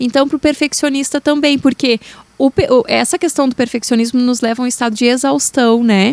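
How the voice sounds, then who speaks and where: A southern Brazilian accent at a fairly quick pace, with fairly even intonation, very even loudness and a dry, close sound with no echo. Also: woman, high pitch for a woman. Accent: gaúcho (southern Brazilian). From Rio Grande do Sul, Brazil. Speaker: therapist. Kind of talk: podcast interview.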